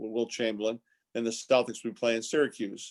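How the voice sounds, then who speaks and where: A man's medium-pitched voice in a Boston accent, on a very clean recording with a silent background. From Boston area, Massachusetts (Quincy). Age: 60s. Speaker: basketball coach and former team executive. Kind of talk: interview. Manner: repeats words often, restarts.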